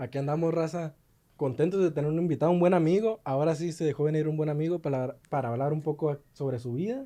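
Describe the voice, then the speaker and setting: This man talks at a very fast pace in a dark, mellow tone, his fairly high voice moving with ordinary pitch variation. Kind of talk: podcast co-host talk.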